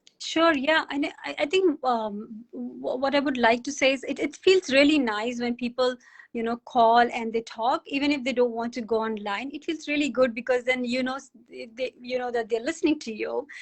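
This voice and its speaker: Speaking at a moderate pace with hardly any pauses, a woman has a high pitch and ordinary pitch variation. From India, grew up in Hyderabad. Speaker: radio presenter. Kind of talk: casual chat.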